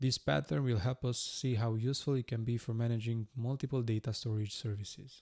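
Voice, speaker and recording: A man with a non-native accent talks at a fairly quick pace with hardly any pauses. His pitch is medium with ordinary variation, the loudness very even, and the sound dry and close with no echo. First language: not English. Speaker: iOS developer, tutorial creator. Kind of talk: tutorial. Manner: hesitant, many uh fillers.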